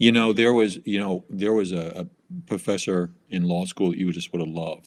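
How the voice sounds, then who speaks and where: A man speaks with a New York accent at a moderate pace. His pitch sits fairly low. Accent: New York, noticeable. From New York City. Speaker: tax professional. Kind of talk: casual interview.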